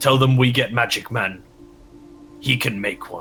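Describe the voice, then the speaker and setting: A man does a put-on character voice that is gruff and raspy, medium in pitch, at a moderate pace. Clear music plays in the background. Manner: yelling.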